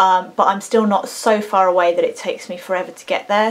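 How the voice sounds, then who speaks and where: A woman speaks in an English accent at a moderate pace. Her pitch is medium. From England. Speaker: singer and vocal coach. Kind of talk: casual talk to camera. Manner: chatty, rambling.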